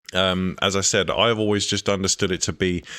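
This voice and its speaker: Music plays in the background as a man talks with a very deep, low pitch. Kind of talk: casual reaction commentary to camera.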